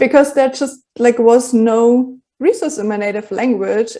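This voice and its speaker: A woman with a German accent speaks at a fairly slow pace, her fairly high pitch carrying a dark, mellow tone. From Germany. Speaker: journalist and filmmaker. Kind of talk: interview. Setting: podcast.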